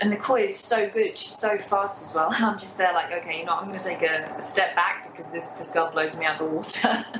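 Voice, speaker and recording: Speaking at a very fast pace with hardly any pauses, a woman with a British accent uses a medium pitch, ordinary pitch variation and big swings in loudness, amid noticeable background noise and audible room echo. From UK. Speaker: novelist. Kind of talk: casual interview. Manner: quiet, low energy.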